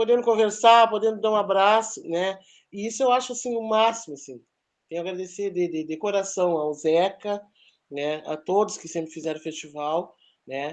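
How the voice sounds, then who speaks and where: The background is quiet. Speech moves at a moderate pace. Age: 60s. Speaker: festival team member. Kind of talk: testimony. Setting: meeting. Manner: halting.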